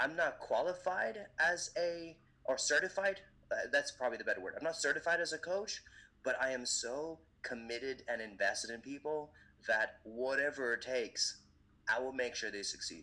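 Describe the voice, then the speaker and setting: With an American accent, a man keeps to a moderate pace. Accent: sounds American. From Indian, raised in many countries (Africa, Europe, Asia, US). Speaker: event MC and motivational speaker. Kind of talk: casual interview.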